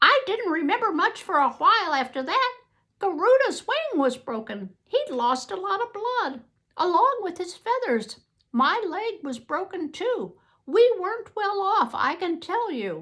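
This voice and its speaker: A woman uses a squeaky, put-on character voice at an extremely high pitch. Her pitch swings very widely as she goes at a moderate pace. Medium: read story.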